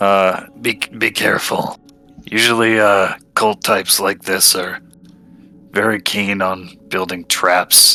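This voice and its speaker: In a put-on character voice, a man speaks raspily at a fairly slow pace and a fairly low pitch, with faint music in the background. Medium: actual play. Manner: blunt, offhand.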